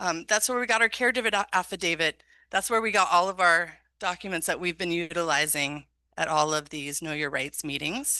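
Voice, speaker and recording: Against a quiet background, a woman talks at a fairly quick pace with a fairly low pitch and lively intonation. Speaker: school district program specialist hosting workshop. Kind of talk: community workshop presentation. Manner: fast.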